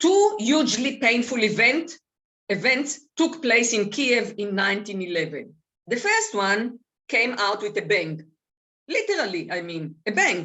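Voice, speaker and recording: In a non-native accent, the speaker goes at a fairly slow pace. The pitch swings very widely. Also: woman, fairly high pitch for a woman. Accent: foreign. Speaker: author and speaker. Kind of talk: reading aloud; talk to seniors group.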